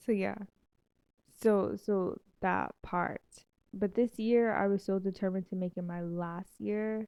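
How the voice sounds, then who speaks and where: Pausing long and often, a woman speaks at a fairly slow pace with monotone, flat intonation. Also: medium pitch for a woman. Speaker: health vlogger. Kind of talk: casual monologue. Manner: stuttering at times.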